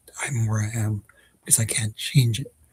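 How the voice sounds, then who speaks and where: A man with medium pitch and a dark, mellow, somewhat breathy tone is heard in a dry, close sound with no echo. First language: not Dutch (learner of Dutch). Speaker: vlogger. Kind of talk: casual vlog monologue. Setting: at home. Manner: hesitant, many fillers.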